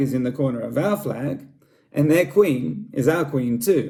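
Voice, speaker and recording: A man speaks at a moderate pace in an Australian accent. His dark, mellow tone sounds somewhat breathy. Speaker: school staff member. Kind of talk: scripted presentation.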